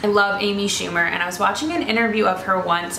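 A woman's very fast speech with fairly even intonation, audible room echo and light background noise. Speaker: fashion vlogger. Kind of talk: casual vlog chat. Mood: earnest, encouraging. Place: home room. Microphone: camera far.

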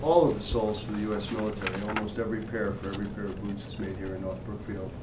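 Clear background noise runs under speech delivered rather quickly. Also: man. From Central Falls, Rhode Island. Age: 50s. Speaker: company CEO. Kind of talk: interview answer. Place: office.

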